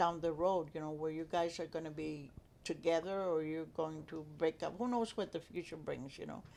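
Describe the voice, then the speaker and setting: The speaker has a strong Spanish accent and a moderate pace. Pitch varies in an ordinary way. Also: woman. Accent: heavy Spanish. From Texas. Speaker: grandmother. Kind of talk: casual chat. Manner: halting.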